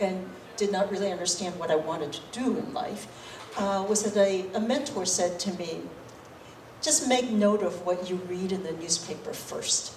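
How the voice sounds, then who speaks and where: Audible room echo and noticeable background noise surround a woman's voice. She talks at a moderate pace and medium pitch, with ordinary pitch variation. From Boston, Massachusetts (immigrated from Taiwan as a child). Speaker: state government official. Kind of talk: fireside chat with audience. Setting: library event with live audience. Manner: conversational with frequent fillers and repetitions.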